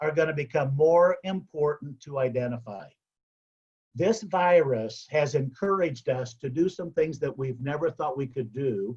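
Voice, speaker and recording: A man speaks with lively intonation and a somewhat breathy voice. His pitch sits fairly high. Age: 60s. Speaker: motivational speaker, past service club president. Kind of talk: motivational speech.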